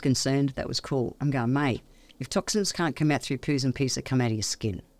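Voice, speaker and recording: In a very clean recording with a silent background, a woman with an Australian accent talks at a very fast pace. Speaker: naturopath. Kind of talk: casual interview chat. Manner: animated.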